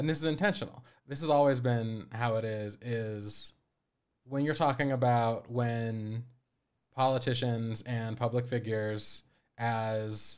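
An American-accented man uses an ordinary speaking voice at medium pitch. He talks at a fairly slow pace with ordinary pitch variation. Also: very clean recording, silent background. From Colorado. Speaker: podcast producer and co-host. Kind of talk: casual chat.

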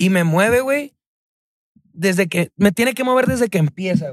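The sound is dry and close, without any echo. A man is the speaker. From Mexico, Chihuahua. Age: 20s. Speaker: singer-songwriter. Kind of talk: casual chat.

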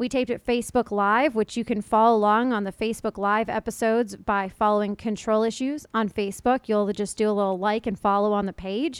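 This woman has a normal speaking voice, fairly high in pitch, with fairly even intonation and a dry, close sound with no echo. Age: 20s. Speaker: podcast host. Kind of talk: casual chat; scripted narration. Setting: video call.

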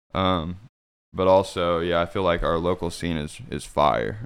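A man with an American accent, very deep and low in pitch, with vocal fry. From southeast Kansas, US. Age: 20s. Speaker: electronic music producer and DJ. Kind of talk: casual interview chat. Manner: hesitant, many fillers.

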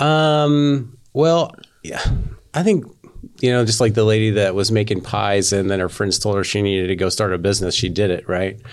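Here is a man with an unremarkable speaking voice and an American accent, pitched fairly low. He talks at a moderate pace with lively intonation. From western Oklahoma. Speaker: business owner. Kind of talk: casual interview.

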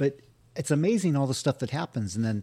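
A man with an American accent speaks in a dark, mellow, somewhat breathy voice with lively intonation. The recording is very clean, with a silent background. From California, Santa Barbara. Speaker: podcast host and bus driver. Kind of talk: casual interview chat. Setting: radio studio. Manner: stutters; halting, repetitive.

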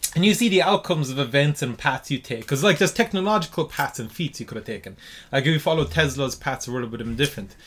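Speaking very fast with an Irish accent, a man uses a fairly high pitch and lively intonation. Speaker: podcast host. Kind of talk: casual chat. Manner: casual, swearing.

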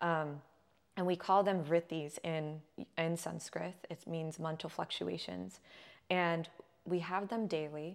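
In a Californian accent, a woman talks at a fairly low pitch and a fairly slow pace, with monotone, flat intonation and long, frequent pauses. The recording is very clean against a silent background. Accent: Californian American. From Southern California. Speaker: holistic health coach. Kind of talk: casual interview.

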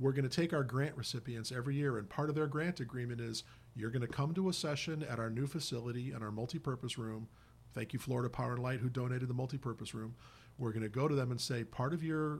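A somewhat breathy man with medium pitch speaks at a very fast pace. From Indiana (Hammond, Chicago area). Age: 50s. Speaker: nonprofit executive, former priest. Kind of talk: radio interview. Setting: radio studio.

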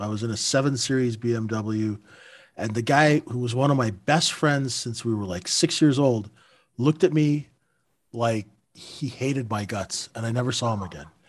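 In an ordinary speaking voice, a man talks at a moderate pace with lively intonation on a very clean recording with a silent background. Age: 50s. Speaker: former market maker and retail trader, podcast co-host. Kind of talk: casual podcast chat.

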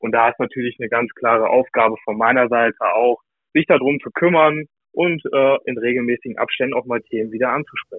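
An ordinary speaking voice from a man, medium in pitch, at a fairly quick pace with fairly even intonation. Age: 20s. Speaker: customer account manager. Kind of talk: casual chat. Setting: remote call.

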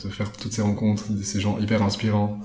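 With audible room echo behind him, a man talks at a fairly quick pace in a fairly low pitch. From French-speaking Switzerland, Lavaux (Vaud). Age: 20s. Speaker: climate activist and agronomy student. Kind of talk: casual interview.

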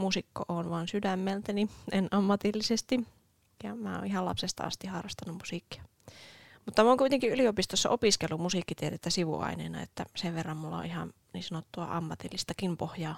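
Captured dry and close with no echo on a very clean recording with a silent background, a woman speaks at a fairly quick pace with a fairly low pitch, vocal fry and lively intonation. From Oulu, Finland. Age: 20s. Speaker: podcast co-host. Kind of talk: casual chat.

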